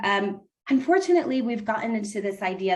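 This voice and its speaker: A woman speaks in a normal speaking voice with an American accent. Her pitch is medium and her pace moderate. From United States. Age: 30s. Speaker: relationship coach. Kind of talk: podcast interview.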